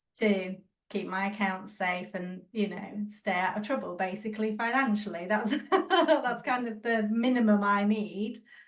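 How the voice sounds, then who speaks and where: At a fairly slow pace, a woman speaks in an ordinary speaking voice, her pitch fairly high with ordinary pitch variation. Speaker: podcast co-host. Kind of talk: casual chat.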